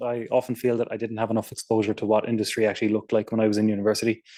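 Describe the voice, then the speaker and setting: A man's medium-pitched, dark, mellow voice in an Irish accent. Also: very clean recording, silent background. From Ireland. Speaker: software engineer. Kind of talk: technical talk. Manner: fast; casual, many fillers.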